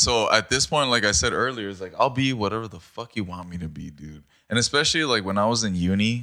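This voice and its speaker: A man rushes at a very fast pace with hardly any pauses, his bright, sharp tone showing big loudness swings and ordinary pitch variation. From Mexico, Baja California. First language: Spanish. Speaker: podcast guest. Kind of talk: casual chat.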